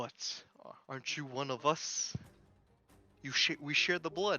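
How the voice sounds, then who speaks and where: A man puts on a gruff character voice pitched fairly high. He speaks at a fairly slow pace with music in the background. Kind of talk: menacing, snarling.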